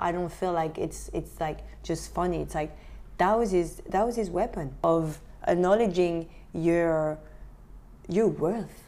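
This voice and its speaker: A woman with a French accent speaks in an animated tone. Her pace is fairly slow, with long, frequent pauses. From France, Beauvais near Paris. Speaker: photographer. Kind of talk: interview.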